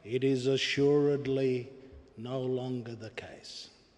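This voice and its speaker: The man talks very slowly. Behind him, background noise is clearly audible. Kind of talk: memorial eulogy speech. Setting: public memorial service hall. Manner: formal, measured, oratorical.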